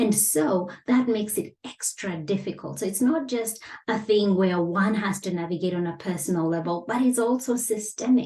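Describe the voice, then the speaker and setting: A woman with a non-native accent speaks at a moderate pace with hardly any pauses, her medium-pitched, somewhat breathy voice dark and mellow in tone with ordinary pitch variation. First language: not English. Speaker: business coach. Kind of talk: online lesson. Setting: facing camera. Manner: measured, with frequent fillers.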